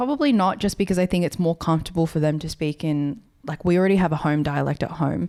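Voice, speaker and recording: In an Australian accent, a woman talks at a fairly quick pace in a very deep, low voice with ordinary pitch variation, on a very clean recording with a silent background. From rural New South Wales, Australia. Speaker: podcast co-host. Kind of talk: casual chat.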